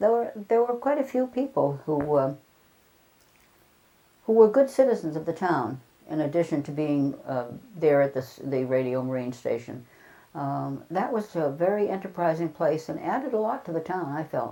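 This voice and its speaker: A woman with a New England accent speaks at a moderate pace in a very deep, low voice, her dark, mellow tone sweeping through very wide pitch swings. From Chatham, Cape Cod, Massachusetts. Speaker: retired school principal. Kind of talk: oral history interview answer.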